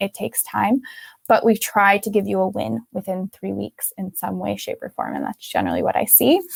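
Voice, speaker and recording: Dry and close with no echo, a woman talks at a very fast pace. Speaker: digestive health coach. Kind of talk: interview. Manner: animated.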